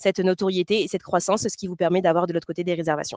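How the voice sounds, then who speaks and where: The woman's voice has a dry, close sound with no echo. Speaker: company representative presenting to boat owners. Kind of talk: webinar presentation. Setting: online webinar. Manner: fast; hesitant, many fillers.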